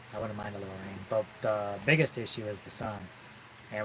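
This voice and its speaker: In a soft-spoken, monotone voice with flat intonation, a man talks at a fairly quick pace at a fairly low pitch. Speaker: off-grid homesteader. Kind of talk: casual chat. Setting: live stream. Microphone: hand in front of mouth, quiet.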